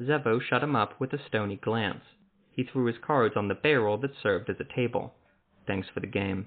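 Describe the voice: Someone does plain reading aloud here.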